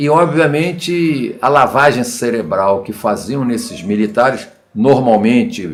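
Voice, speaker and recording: Amid audible room echo, a man at a medium pitch uses lively intonation while going at a very slow pace. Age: 70s. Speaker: political commentator. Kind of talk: video monologue. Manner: halting.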